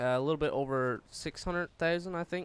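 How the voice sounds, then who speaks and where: Here a man talks at a fairly quick pace. His intonation stays fairly even. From Newfoundland, Canada. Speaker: gaming commentator. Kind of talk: gameplay commentary. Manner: hesitant, many fillers.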